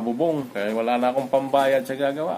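A man speaks at a moderate pace with ordinary pitch variation over light background noise. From Philippines. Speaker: overseas worker vlogger. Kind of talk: vlog monologue. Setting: at home. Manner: halting. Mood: reflective, calm. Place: home room. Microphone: phone near.

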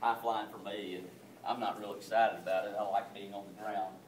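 At a moderate pace, a man with a slightly mellow tone speaks in a room with audible echo.

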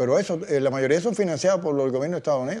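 Lively in intonation, a man talks in a fairly high pitch with a dark, mellow tone. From Cuba. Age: 80s+. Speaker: economist. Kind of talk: interview. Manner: halting. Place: home room.

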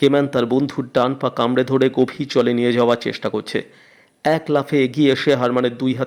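Plain reading aloud carries fairly even intonation.

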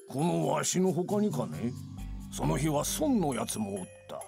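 Over faint music in the background, a man does a put-on character voice that is fairly high, dark and mellow in tone, with vocal fry, big pitch swings and a fairly slow pace.

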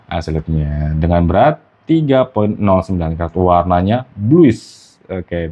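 A man speaks with a very deep, low voice. His pace is very slow. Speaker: gem channel host. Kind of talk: street seller pitchman. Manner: animated, excitable.

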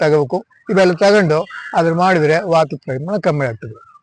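The voice belongs to a man. Ordinary variation marks his pitch. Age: 70s. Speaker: yoga teacher. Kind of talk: informal talk on health.

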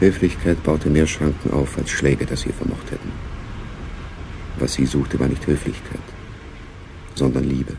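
A man's put-on character voice, extremely low in pitch, with vocal fry, fairly even intonation and long, frequent pauses. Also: fairly slow pace.

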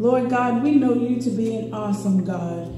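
Heard with light background noise and audible room echo, a woman talks at a moderate pace. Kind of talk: public prayer. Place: church.

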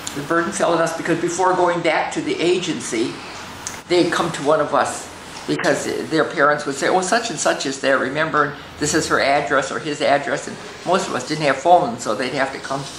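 This woman's voice sits very deep and low, with ordinary pitch variation at a fairly quick pace. Audible room echo and light background noise are present. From Standing Rock Reservation, North/South Dakota. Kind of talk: elder's reflective life story told to camera. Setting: filmed on location interview. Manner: conversational, reflective; hesitant, repeating words, with fillers. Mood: calm, reflective reminiscing. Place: home room.

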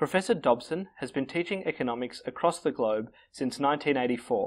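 A man's fairly high-pitched, fairly quick delivery with ordinary pitch variation in a plain, everyday voice. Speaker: student webseries host. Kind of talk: show introduction read.

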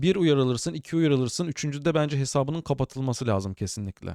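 The man has an ordinary speaking voice at a medium pitch with lively intonation, captured with a dry, close sound and no echo. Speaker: tech podcast host, cybersecurity. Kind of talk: casual solo tech news commentary. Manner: chatty, informal.

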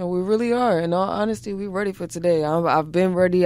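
At a fairly quick pace, a woman talks in a dark, mellow tone with a fairly low pitch and ordinary pitch variation. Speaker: college basketball player. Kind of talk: interview answer. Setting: studio.

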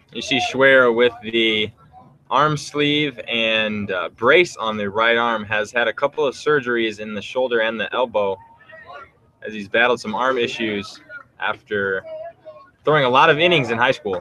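In a relaxed tone, a man talks at a fairly slow pace with long, frequent pauses and ordinary pitch variation amid noticeable background noise. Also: medium pitch for a man. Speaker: color commentator. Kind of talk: live sports commentary, analysis between pitches. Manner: relaxed, conversational, informative.

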